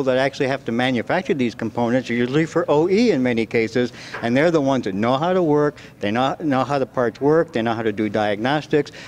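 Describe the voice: A fast-paced man at medium pitch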